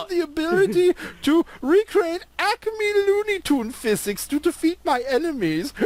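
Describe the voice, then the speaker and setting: The voice is a put-on character with an extremely high pitch. Its pace is moderate. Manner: playful cartoonish.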